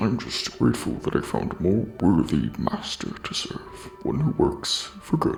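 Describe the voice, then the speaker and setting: A man adopts a put-on character voice and talks at a moderate pace. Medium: machinima. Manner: formal, courteous.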